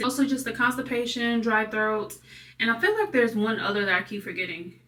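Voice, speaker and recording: Over noticeable background noise, a woman talks fairly quickly in a high pitch with ordinary pitch variation. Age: 20s. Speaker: vlogger. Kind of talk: casual vlog. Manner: animated.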